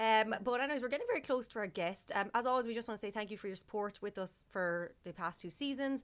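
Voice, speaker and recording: A woman with an Irish accent and a fairly high pitch, at a very fast pace with hardly any pauses and ordinary pitch variation. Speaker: podcast co-host. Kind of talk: casual chat. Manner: hesitant, many fillers.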